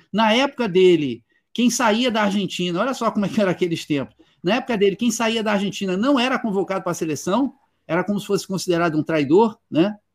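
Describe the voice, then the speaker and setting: A man's high voice at a very fast pace, with ordinary pitch variation, on a very clean recording with a silent background. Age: 60s. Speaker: author and literature teacher. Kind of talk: interview.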